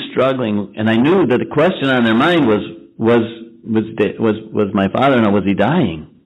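Here a man speaks at a medium pitch. His intonation is lively. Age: 60s. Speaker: recovery fellowship member. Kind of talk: testimony.

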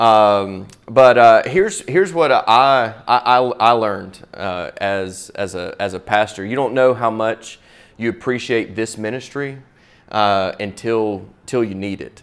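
A man with a Southern US accent, medium pitch, and a fairly slow pace. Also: ordinary pitch variation, very clean recording, silent background. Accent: US South. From Florida, Pensacola. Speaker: pastor. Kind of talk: talk to church audience. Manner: halting, many repeated words.

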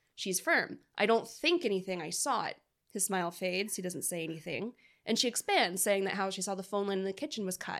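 A woman has an unremarkable speaking voice with a medium pitch and ordinary pitch variation, moving at a fairly quick pace. The recording is very clean, with a silent background. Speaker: podcast co-host. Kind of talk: casual chat.

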